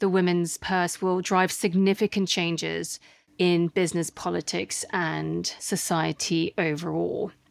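A woman's fairly low voice at a fairly slow pace, with a dry, close sound with no echo and a very clean recording, silent background. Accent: slight Australian. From Australia, Sydney. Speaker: podcast host and investor. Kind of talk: monologue audio journal.

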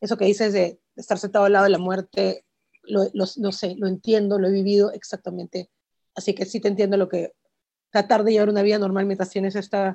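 A woman's dark, mellow voice at medium pitch, monotone and flat, very fast, in a dry, close recording with no echo. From Peru. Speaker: visual artist and museum curator interviewing a filmmaker. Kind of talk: interview conversation.

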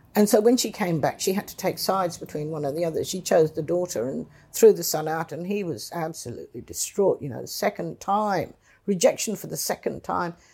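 A woman speaks in a dark, mellow tone with vocal fry and big swings in loudness. The recording is very clean, with a silent background. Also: fairly quick pace. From England. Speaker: retired politician. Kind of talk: interview. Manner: halting.

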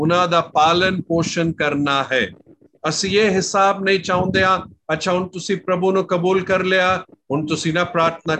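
A man talks in a high pitch with a bright, sharp tone. His intonation stays fairly even. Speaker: pastor. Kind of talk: online Bible teaching.

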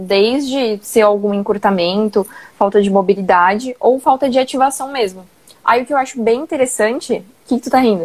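With lively intonation and a fairly high pitch, a woman speaks at a moderate pace in a normal speaking voice. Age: 20s. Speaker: personal trainer. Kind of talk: casual live-stream chat.

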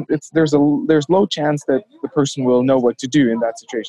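A man with a fairly high pitch and a dark, mellow tone speaks at a fairly quick pace. The sound is dry and close, with no echo. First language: not English. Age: 30s. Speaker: former aikido instructor turned MMA practitioner. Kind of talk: interview conversation.

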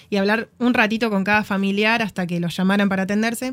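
A woman's fairly high-pitched voice, a normal speaking voice with fairly even intonation. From Argentina, Tucumán. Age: 30s. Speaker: podcast guest, volunteer. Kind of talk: casual chat. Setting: studio.

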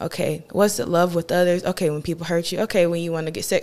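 A woman with a North Carolina accent, fairly low in pitch, with vocal fry and monotone, flat intonation. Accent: Southern US, North Carolina. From eastern North Carolina, Farmville. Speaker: singer. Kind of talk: casual interview.

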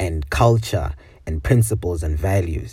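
Using vocal fry and a dark, mellow tone, a man speaks at a moderate pace with lively intonation. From Botswana (Zimbabwean family), later South Africa. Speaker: podcast host, university student. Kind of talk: casual solo monologue. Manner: informal, hesitant with many fillers and repetitions.

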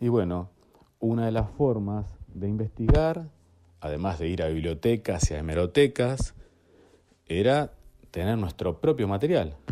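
A fairly low-pitched man, fairly slow and with long, frequent pauses, his pitch swinging very widely. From Argentina, La Plata. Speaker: archive collector and researcher. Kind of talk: interview.

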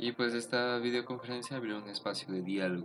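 Over music in the background, a man with a Mexican accent speaks at a moderate pace with ordinary pitch variation. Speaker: podcast host. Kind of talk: solo commentary podcast. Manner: casual, hesitant with fillers.

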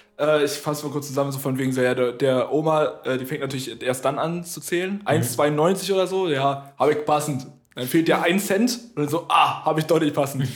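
Hardly pausing, a man with an unremarkable speaking voice talks at a fairly quick pace, his fairly high pitch showing ordinary variation. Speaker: podcast co-host. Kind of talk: casual chat. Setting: home studio. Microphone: room echo.

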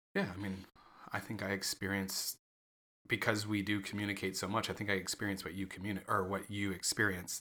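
A man's fairly low, bright and sharp voice, flat and monotone at a fairly quick pace, on a very clean recording with a silent background. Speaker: podcast co-host. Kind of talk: casual chat. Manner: halting, occasional stutter.

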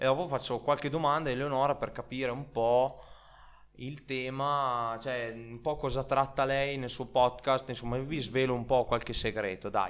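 At a moderate pace, a man with an ordinary speaking voice and medium pitch talks in fairly even intonation. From Italy. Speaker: podcast host. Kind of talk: casual chat.

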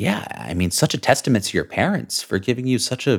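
A man with a medium pitch talks at a fairly quick pace, showing vocal fry and very wide pitch swings. The recording is very clean, with a silent background. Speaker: podcast host. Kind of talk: scripted intro then casual interview.

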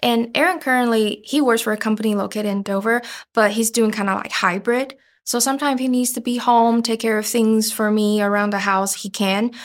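Fairly quick speech with a Chinese accent and fairly even intonation, on a very clean recording with a silent background. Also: woman, fairly high pitch for a woman. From Taiwan, suburb of Taipei. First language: Mandarin Chinese. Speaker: podcast co-producer. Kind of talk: casual interview chat.

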